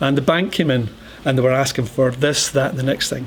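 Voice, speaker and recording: A man speaks very fast in a fairly high voice over noticeable background noise. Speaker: entrepreneur and angel investor. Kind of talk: talk with audience Q&A.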